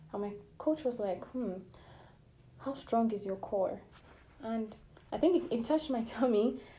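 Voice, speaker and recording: With lively intonation and long, frequent pauses, a woman speaks at a moderate pace in a dark, mellow tone and fairly high pitch, with audible room echo around her. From Nigeria. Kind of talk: devotional sermon.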